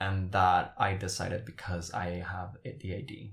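A man's voice, somewhat breathy, sits at a very deep, low pitch. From Paraguay. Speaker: drag performer. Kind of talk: casual chat.

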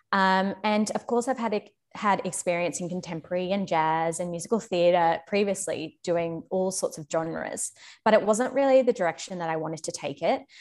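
A woman with an Australian accent, at a moderate pace. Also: medium pitch for a woman, ordinary pitch variation. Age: young. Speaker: former ballet dancer. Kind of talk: casual chat.

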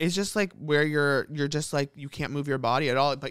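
An American man with an unremarkable speaking voice talks at a moderate pace, with fairly high pitch and fairly even intonation, in a very clean recording with a silent background. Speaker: podcast co-host. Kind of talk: casual chat.

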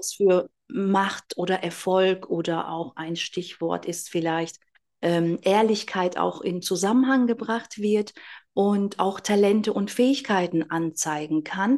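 This woman talks very slowly at a medium pitch. Her pitch varies in an ordinary way. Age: 40s. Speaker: astrologer. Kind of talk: interview.

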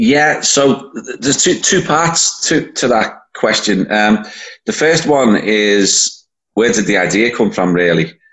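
A man with a Liverpool accent speaks at a fairly slow pace. His pitch swings very widely while his loudness stays very even. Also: medium pitch for a man. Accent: Scouse (Liverpool). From Liverpool, England. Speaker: event organizer, football fan. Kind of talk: casual interview.

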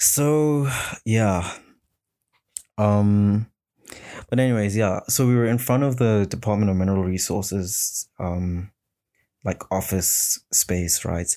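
A man speaks at a very slow pace, his tone dark and mellow and his pitch fairly low, with ordinary pitch variation and long, frequent pauses. The recording is very clean, with a silent background. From South Africa. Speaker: solo podcast host. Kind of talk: casual solo monologue. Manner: halting, many fillers and restarts.

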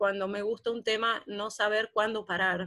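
A normal speaking voice at a fairly slow pace. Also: woman, very clean recording, silent background. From Catamarca, Argentina. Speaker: translator and university lecturer. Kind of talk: radio talk.

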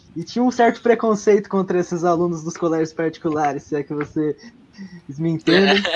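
A man talks at a moderate pace, his pitch varying in an ordinary way while noticeable background noise carries on. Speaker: history teacher and student, podcast co-host. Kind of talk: casual chat. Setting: live stream.

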